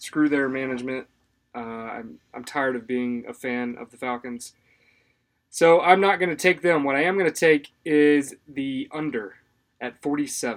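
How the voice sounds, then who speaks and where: A man speaks in a normal speaking voice at a fairly slow pace, pitched fairly high with ordinary pitch variation. His loudness swings widely, and the recording is very clean with a silent background. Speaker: sports betting podcast co-host. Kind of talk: casual chat.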